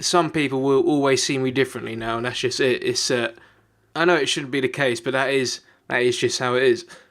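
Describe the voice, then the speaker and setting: On a very clean recording with a silent background, a man with a British accent speaks at a fairly quick pace, at medium pitch with fairly even intonation. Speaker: YouTuber. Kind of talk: personal vlog confession. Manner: halting; unscripted.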